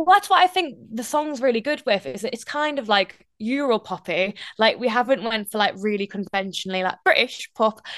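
Fairly high-pitched and fairly quick, a woman with a Geordie accent swings very widely in pitch, the sound dry and close with no echo. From northeast England. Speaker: radio presenter. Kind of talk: interview.

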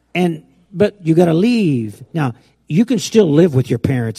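A man's dark, mellow, somewhat breathy voice comes through in a dry, close sound with no echo. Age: 70s. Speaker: pastor. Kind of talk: sermon. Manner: halting.

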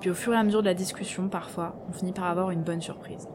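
Over noticeable background noise, a woman speaks with fairly even intonation in a fairly low voice. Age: 20s. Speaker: podcast narrator. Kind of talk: personal audio diary; scripted narration. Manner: hesitant, many fillers.

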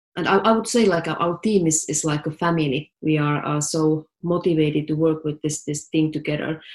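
A woman with a Finnish accent, very deep and low in pitch, at a moderate pace with fairly even intonation and hardly any pauses. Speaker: tech startup CEO. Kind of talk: interview.

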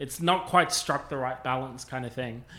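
A man with an Australian accent speaks at a moderate pace in a fairly high pitch. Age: 40s. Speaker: podcast host. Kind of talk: casual chat.

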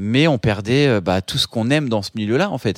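A man speaks at medium pitch and a moderate pace with lively intonation, captured in a very clean, dry and close recording with a silent background and no echo. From France, Paris suburbs (Seine-et-Marne). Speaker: photographer and illustrator. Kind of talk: interview testimony. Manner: halting, many fillers and repetitions.

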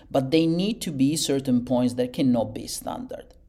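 At a moderate pace, a man speaks in an Italian accent. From Italy. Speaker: architect. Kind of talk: interview. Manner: halting, many fillers and repetitions.

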